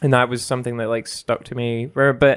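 A man with a Scottish accent speaks at medium pitch in a monotone, flat intonation. The recording is very clean, with a silent background. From Scotland. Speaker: video game reviewer. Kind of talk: casual chat.

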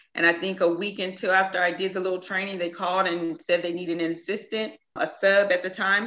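Her voice has a bright, sharp tone, with a woman speaking in a Southern US accent at a fairly low pitch. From Mississippi. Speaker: hairstylist and business owner. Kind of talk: interview.

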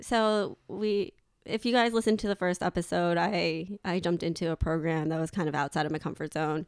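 A woman with a fairly low pitch and ordinary pitch variation speaks at a fairly quick pace in an ordinary speaking voice, the very clean recording dry and close with no echo and a silent background. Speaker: podcast host. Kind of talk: casual chat.

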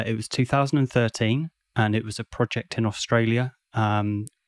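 A man with a British accent talks at a medium pitch with fairly even intonation. The very clean recording has a silent background and a dry, close sound with no echo. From UK. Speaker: service designer and podcaster. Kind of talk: casual interview chat.

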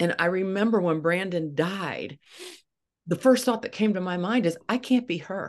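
With an American accent, a woman speaks in an ordinary speaking voice at a moderate pace, her medium pitch showing ordinary variation. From eastern Ohio. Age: 60s. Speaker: former news anchor and grief coach. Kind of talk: casual interview.

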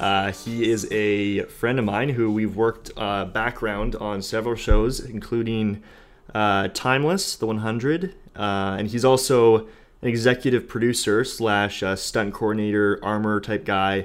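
Speaking at a fairly slow pace, a man uses an ordinary speaking voice that is fairly low in pitch, with fairly even intonation. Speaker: podcast host. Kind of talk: casual interview.

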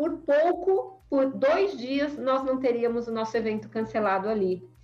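With music in the background, a woman talks at a fairly slow pace. Her intonation is lively. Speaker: data privacy lawyer and association founder. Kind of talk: podcast interview. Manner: animated.

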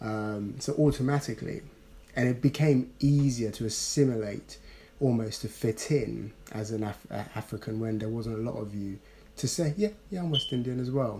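With a London accent, a man speaks at a moderate pace and medium pitch, his tone dark and mellow and somewhat breathy, with ordinary pitch variation. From Ghana, raised partly in South London. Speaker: podcast co-host. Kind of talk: casual chat.

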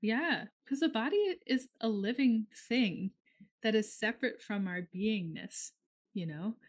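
Somewhat breathy and fairly high-pitched, a woman with an American accent uses lively intonation and long, frequent pauses against a quiet background. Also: dry, close sound with no echo. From US Midwest, northern Minnesota. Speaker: astrologer and healing practitioner. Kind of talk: casual chat.

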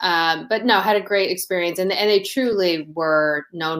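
Speaking at a moderate pace with ordinary pitch variation, a woman with an American accent has an unremarkable speaking voice. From US Midwest, Toledo Ohio. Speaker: sports betting industry advisor. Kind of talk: interview. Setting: livestream.

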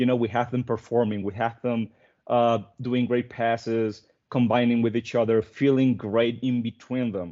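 At a moderate pace, a man speaks in a flat monotone at medium pitch. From Venezuela. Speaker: football writer and commentator. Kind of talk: casual podcast chat.

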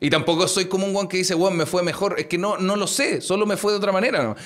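A man with a Chilean accent talks at a very fast pace in a high pitch, with noticeable background noise behind him. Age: 20s. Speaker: podcast host. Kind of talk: casual chat.

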